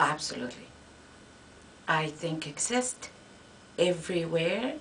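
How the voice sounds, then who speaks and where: Speaking at a fairly slow pace with a Spanish accent, a woman uses a fairly low voice and lively intonation over noticeable background noise. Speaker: Spanish professor. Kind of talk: interview. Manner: halting.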